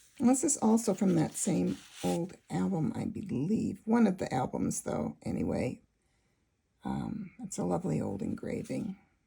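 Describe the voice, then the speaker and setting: A woman mumbles at a moderate pace. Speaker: junk journal maker. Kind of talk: casual talk to camera. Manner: mumbling a bit.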